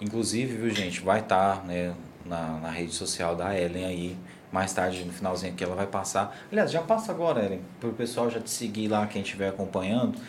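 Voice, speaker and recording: Speaking at a fairly quick pace, a man with an ordinary speaking voice keeps a fairly low pitch with ordinary pitch variation. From Goiás, Brazil (Morrinhos). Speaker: podcast host. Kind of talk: casual interview. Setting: studio, livestream.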